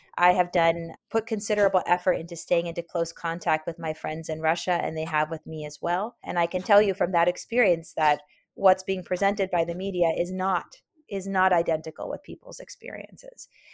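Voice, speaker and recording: A woman's normal speaking voice in an American accent, fairly low for a woman, fairly quick and fairly even in intonation, on a very clean recording against a silent background. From US West Coast (Oakland, California). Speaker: historian. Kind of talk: interview.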